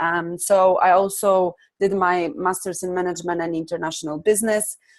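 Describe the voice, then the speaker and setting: Here is a woman speaking with a Polish accent. Her pitch is medium, with ordinary pitch variation. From Poland. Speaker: life coach and trainer. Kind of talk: online workshop presentation. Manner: hesitant, many fillers.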